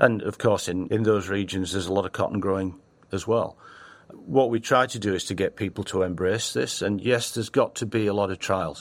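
A man with an American accent speaks in a fairly low pitch with ordinary pitch variation, recorded very cleanly against a silent background. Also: fairly quick pace. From Northern England. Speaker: company founder. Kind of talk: casual interview.

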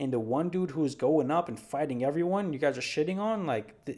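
Recorded very cleanly against a silent background, a man with a New York accent speaks at a moderate pace with ordinary pitch variation. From New York City. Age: 20s. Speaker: MMA podcast host. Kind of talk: solo podcast commentary. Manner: animated.

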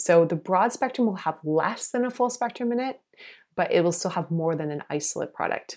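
A woman with an American accent and a normal speaking voice, lively intonation, a fairly quick pace, and a very clean recording over a silent background. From US South, South Carolina. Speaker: medical doctor. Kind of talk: interview.

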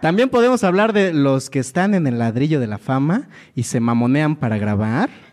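A man with a fairly high pitch speaks with very wide pitch swings. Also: moderate pace. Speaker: comedian co-host. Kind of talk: comedic casual chat.

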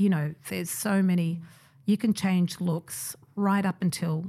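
Speaking fairly slowly in an Australian accent, a woman has a dark, mellow, somewhat breathy voice of fairly low pitch and fairly even intonation. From migrant family, raised in Australia. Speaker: hairdresser and creative director. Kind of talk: interview.

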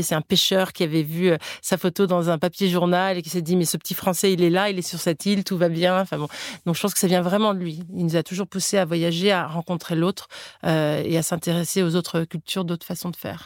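Over a very clean recording with a silent background, a woman at a fairly low pitch talks fairly quickly in a flat monotone. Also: dry, close sound with no echo. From Florida, US. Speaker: cookbook author and entrepreneur. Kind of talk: interview. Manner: halting, with frequent repetitions and fillers.

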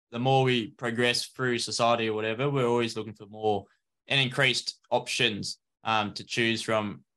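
A man with an Australian accent speaks at a moderate pace in a medium pitch, his bright, sharp tone delivered with monotone, flat intonation. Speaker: podcast host. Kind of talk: scripted intro and disclaimer; casual interview chat.

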